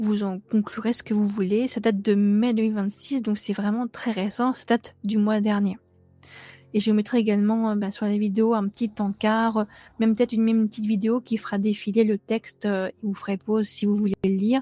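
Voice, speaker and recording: With music in the background, the voice holds a monotone, flat intonation at a moderate pace, in a dry, close sound with no echo. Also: woman, fairly high pitch for a woman. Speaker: true crime youtuber. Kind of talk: scripted narration; casual chat. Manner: hesitant with fillers.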